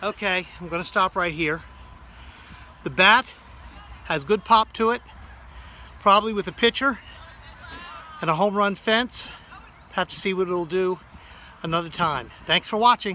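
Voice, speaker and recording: The speaker uses a raised, projected voice at a moderate pace, leaving long, frequent pauses, with ordinary pitch variation and noticeable background noise. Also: man, high pitch for a man. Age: 60s. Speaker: amateur softball player. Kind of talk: casual product demo.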